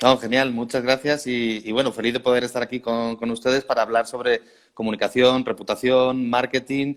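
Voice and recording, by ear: The pace is moderate, with little pitch movement. The speaker has a Spanish accent. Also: man, medium pitch for a man. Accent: Peninsular Spanish.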